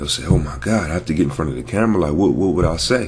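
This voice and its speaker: Very fast speech comes from a man with a very deep, low pitch. Noticeable background noise and audible room echo surround him. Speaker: network marketer and vlogger. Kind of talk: motivational vlog talk. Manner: casual, hesitant with fillers.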